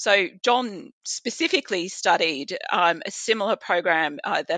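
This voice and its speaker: Bright and sharp in tone, a woman speaks with an Australian accent. Her pitch variation is ordinary. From rural Australia. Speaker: physician and health policy researcher. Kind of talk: podcast interview.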